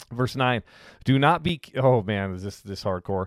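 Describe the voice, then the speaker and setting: On a very clean recording with a silent background, a man with a plain, everyday voice speaks at medium pitch and a fairly quick pace, with ordinary pitch variation. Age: 40s. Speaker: pastor. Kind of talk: bible teaching. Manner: casual, with fillers and repetitions.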